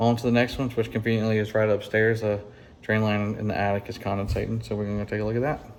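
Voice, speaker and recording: A man with a Southern US accent, fairly low in pitch, at a fairly quick pace. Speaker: HVAC technician. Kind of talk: on-the-job tutorial. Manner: casual, with fillers.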